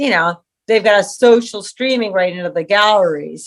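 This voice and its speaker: A plain, everyday voice from a woman with an American accent, medium in pitch, fairly quick, with lively intonation. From US West Coast, San Diego, California. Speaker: artist and sculptor. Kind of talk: casual interview chat.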